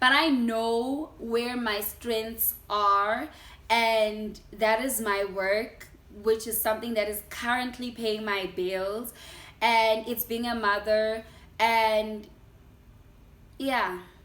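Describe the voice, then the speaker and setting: A woman with a South African accent speaks at a very slow pace, her fairly high pitch held in fairly even intonation. Audible room echo surrounds her voice. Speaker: YouTuber. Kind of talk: casual sit-down vlog.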